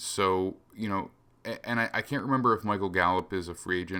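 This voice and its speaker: An ordinary speaking voice from a man, fairly low in pitch with ordinary pitch variation, at a moderate pace, on a very clean recording with a silent background. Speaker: football analyst podcast host. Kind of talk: solo analysis commentary. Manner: casual with fillers.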